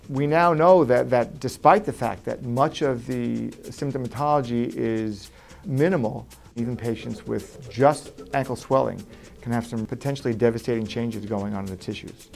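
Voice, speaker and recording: Music plays behind a man speaking at a moderate pace, his medium pitch showing ordinary variation. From New York. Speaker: vein surgeon. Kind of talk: interview answer.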